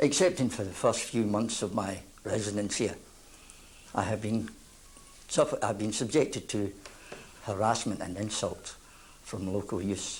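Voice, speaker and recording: The voice is somewhat breathy, with ordinary pitch variation and a moderate pace. Long, frequent pauses break up the speech. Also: man, fairly low pitch for a man. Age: 60s. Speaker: local resident. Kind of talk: testimony.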